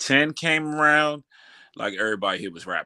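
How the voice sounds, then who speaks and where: Recorded very cleanly with a silent background, a man with an American accent has a bright, sharp tone in a dry, close sound with no echo. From Washington DC. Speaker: rapper. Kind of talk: casual interview.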